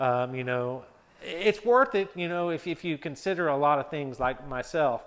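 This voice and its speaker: A man speaks with ordinary pitch variation. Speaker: car vlogger. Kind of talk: casual vlog monologue. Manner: fast; hesitant, many fillers.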